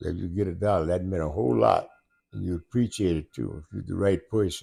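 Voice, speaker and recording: The voice moves at a fairly quick pace with a dark, mellow tone and lively intonation. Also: man, very deep, low pitch for a man. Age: 80s+. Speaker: grandfather. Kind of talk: interview answer.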